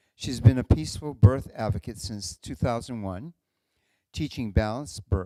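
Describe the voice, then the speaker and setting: Lively intonation at a moderate pace, with a New England accent. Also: man. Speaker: event host introducing speakers. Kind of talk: speaker introduction at a live talk event.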